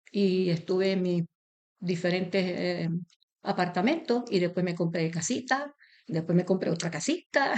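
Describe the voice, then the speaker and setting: A woman speaks at a fairly slow pace, with medium pitch and ordinary pitch variation. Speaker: interviewee, association member. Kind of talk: interview.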